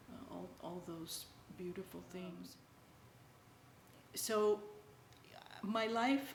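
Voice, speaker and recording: A woman speaks very slowly at a fairly high pitch with fairly even intonation, with noticeable background noise and audible room echo. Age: 60s. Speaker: interviewee sharing spiritual experiences. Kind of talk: personal testimony. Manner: halting, many fillers.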